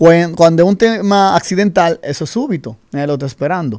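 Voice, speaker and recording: A man talks at a fairly quick pace in a high voice. His intonation is lively and the background is quiet. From Dominican Republic. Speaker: insurance advisor; guest. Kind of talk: radio interview. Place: studio. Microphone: studio mic.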